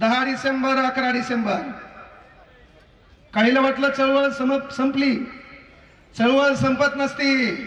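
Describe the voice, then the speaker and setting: Over noticeable background noise, a man talks in an energetic tone at an extremely high pitch, his loudness very even throughout. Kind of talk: public speech at a rally. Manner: humorous, energetic.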